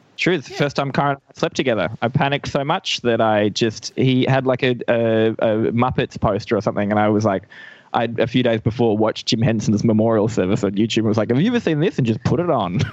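Very fast speech from a man with an Australian accent. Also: medium pitch for a man, ordinary pitch variation. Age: 20s. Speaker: comedian. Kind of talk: casual chat. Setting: video call.

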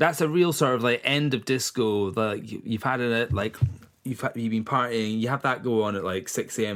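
With a Scottish accent, a man talks at a moderate pace in a medium pitch with ordinary pitch variation. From east coast of Scotland. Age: 40s. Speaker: singer-songwriter and record label owner. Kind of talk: casual chat.

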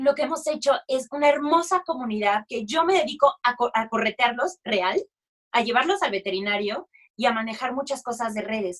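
Her tone is animated and her intonation lively as a woman speaks at a high pitch. The pace is moderate, and the sound is dry and close with no echo. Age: 30s. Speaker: musical theatre actress and dog rescuer. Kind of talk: casual chat.

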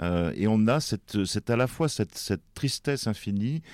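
A man speaks at a fairly slow pace with lively intonation. The recording is very clean, with a silent background and a dry, close sound with no echo. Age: 60s. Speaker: writer and press attaché. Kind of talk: interview about his depression. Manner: halting, many hesitations.

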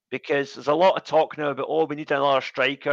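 A man with a Scottish accent, fairly high-pitched with vocal fry, in a dry, close sound with no echo against a quiet background. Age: 40s. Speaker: football fan, English teacher. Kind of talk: casual interview.

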